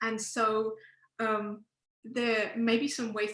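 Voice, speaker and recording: This woman speaks with an English accent. Her pitch is fairly high. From England. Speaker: professor. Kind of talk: panel talk. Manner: halting.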